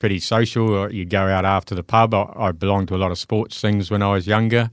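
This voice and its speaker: In a New Zealand accent, a man talks at a fairly quick pace with a fairly low pitch and monotone, flat intonation. The background is quiet. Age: 50s. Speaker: recovering alcoholic. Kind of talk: testimony.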